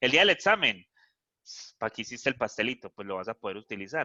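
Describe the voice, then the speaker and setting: Recorded dry and close with no echo against a quiet background, a man speaks in a bright, sharp tone. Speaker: math professor. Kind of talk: lecture. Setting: video call. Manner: fast.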